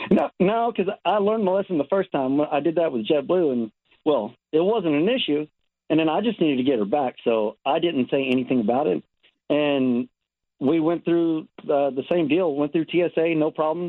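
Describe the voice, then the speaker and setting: This man has an unremarkable speaking voice with an American accent and a fairly high pitch. He talks at a moderate pace with lively intonation and very even loudness. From Texas. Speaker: caller with pet opossum. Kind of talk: casual phone chat. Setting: phone call.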